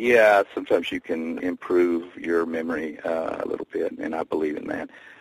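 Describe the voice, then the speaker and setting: A man with a Tennessee accent at a moderate pace, dry and close with no echo, over noticeable background noise. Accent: Tennessee Southern US, moderate. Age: 60s. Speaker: singer-songwriter. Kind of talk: casual interview chat.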